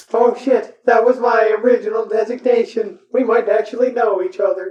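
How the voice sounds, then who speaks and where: The voice is a put-on character, fairly high in pitch. It moves at a moderate pace with monotone, flat intonation. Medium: actual play. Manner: logical.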